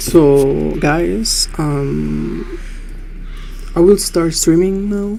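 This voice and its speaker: Music plays in the background as a woman speaks very slowly, with audible room echo around her. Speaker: gaming streamer. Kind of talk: live gameplay commentary.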